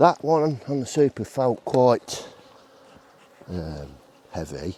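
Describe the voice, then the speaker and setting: Long, frequent pauses mark this dark, mellow voice, which moves through very wide pitch swings. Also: man. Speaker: beekeeper. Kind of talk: casual vlog narration while working. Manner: mumbling while concentrating.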